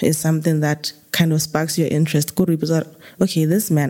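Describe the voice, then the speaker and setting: This woman's voice sits very deep and low, with a dark, mellow tone. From Botswana. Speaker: virology researcher, PhD student. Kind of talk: interview.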